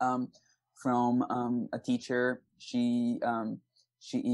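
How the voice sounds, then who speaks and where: A man with a Brazilian accent speaks in a medium pitch with fairly even intonation. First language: Portuguese. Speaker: aspiring actor and singer. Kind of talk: podcast interview. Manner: many fillers like you know and um.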